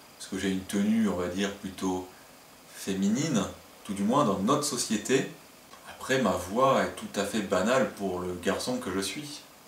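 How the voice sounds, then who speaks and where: A man's fairly low voice, fairly slow with ordinary pitch variation and long, frequent pauses, amid noticeable background noise and audible room echo. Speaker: video blogger, crossdresser. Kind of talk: comedic top-ten monologue. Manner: animated.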